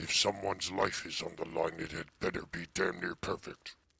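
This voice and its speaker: A man's put-on character voice, growling and very deep, at a moderate pace. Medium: actual play. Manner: terse, dry.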